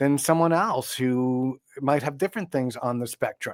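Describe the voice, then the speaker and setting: On a very clean recording with a silent background, dry and close with no echo, a man speaks in a plain, everyday voice at a moderate pace with ordinary pitch variation. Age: 60s. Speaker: composer and sound healing expert. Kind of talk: podcast interview.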